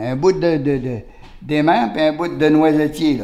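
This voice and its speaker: A fairly slow delivery, with noticeable background noise behind it. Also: man. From Quebec, Beauce region (Saint-Martin). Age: 80s+. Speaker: retired lumberjack and craftsman. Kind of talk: casual interview chat. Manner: halting, repeats words.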